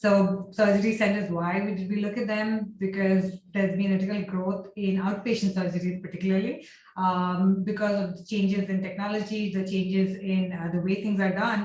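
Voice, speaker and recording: A woman speaks with hardly any pauses, in a medium pitch and somewhat breathy voice. Her intonation is monotone and flat, and audible room echo surrounds her. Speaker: architecture and healthcare design researcher. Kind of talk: lecture. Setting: video call. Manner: fast.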